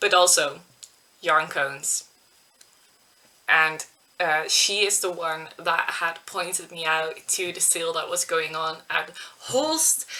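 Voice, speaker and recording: With a Dutch accent, a woman speaks very slowly at a fairly low pitch, her intonation fairly even and her pauses long and frequent. Noticeable noise sits in the background. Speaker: knitting podcaster. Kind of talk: casual vlog chat. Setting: webcam recording at home.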